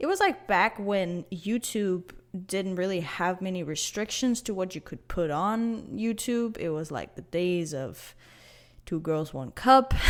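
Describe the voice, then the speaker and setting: A woman with a non-native accent, medium pitch and lively intonation at a fairly slow pace, in a very clean recording with a silent background. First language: not English. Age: 20s. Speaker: podcast host. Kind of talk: casual monologue podcast. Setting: empty living room. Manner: halting, many fillers and restarts.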